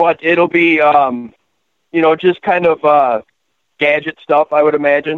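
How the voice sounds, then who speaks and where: A man with an American accent talks at a fairly slow pace in a plain, everyday voice, fairly high in pitch. His intonation is fairly even and his loudness very even. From Wisconsin. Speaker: caller, high school worker. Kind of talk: casual sports talk.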